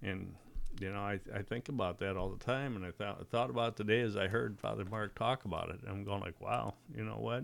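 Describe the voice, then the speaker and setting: A man talks at a fairly quick pace with a fairly low pitch. There is vocal fry, and ordinary pitch variation. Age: 70s. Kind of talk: casual chat.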